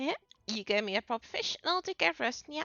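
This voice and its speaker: Talking at a very fast pace, a woman uses a put-on character voice pitched high. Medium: game stream. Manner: bubbly, cutesy, says nyan.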